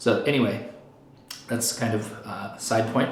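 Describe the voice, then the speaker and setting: A man's medium-pitched voice amid audible room echo and noticeable background noise. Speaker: Buddhist teacher. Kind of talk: lecture. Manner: fast; casual, with fillers.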